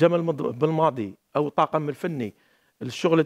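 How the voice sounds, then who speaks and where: A man speaks at a moderate pace. His pitch is fairly high, and the background is quiet. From Algeria. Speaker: football coach and pundit; football analyst. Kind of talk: studio football analysis panel. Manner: halting, repeats words. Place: studio. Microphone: headset.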